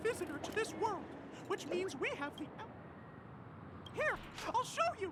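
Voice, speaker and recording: An extremely high-pitched cartoonish character voice over loud background noise. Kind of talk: cartoon mascot voice. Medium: video game. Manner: exclamatory, lively.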